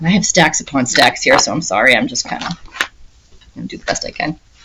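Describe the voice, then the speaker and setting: Very wide pitch swings run through a woman's very fast speech, with noticeable background noise behind her. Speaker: cross-stitch video creator. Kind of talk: casual hobby update talk. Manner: soft-spoken, trying to be quiet; chatty, hesitant with fillers.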